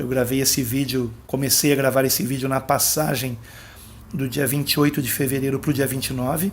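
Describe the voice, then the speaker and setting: This man's voice sits at a medium pitch and moves at a fairly quick pace in a monotone, flat intonation. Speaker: pastor. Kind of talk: bible teaching monologue. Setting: at home, late at night. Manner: soft-spoken.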